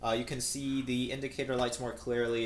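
A man speaks with audible room echo and light background noise. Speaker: hobbyist reviewer. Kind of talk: tutorial. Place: home room. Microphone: camera far.

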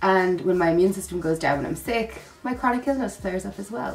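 Over light background noise, a woman talks in a weary tone, her pitch swinging very widely. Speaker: vlogger. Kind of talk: casual vlog chat. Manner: sick, congested, weary voice. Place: home room. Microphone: phone near.

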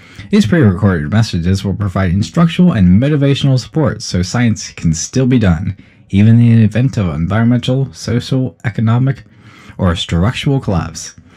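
A man speaks at a fairly quick pace with lively intonation. His tone is dark and mellow, and his pitch is fairly low. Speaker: announcer voice test. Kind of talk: scripted game announcement read, second take for comparison.

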